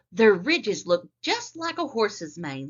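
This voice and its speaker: At a moderate pace, a woman uses a put-on character voice, her fairly high pitch swinging very widely. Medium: read story.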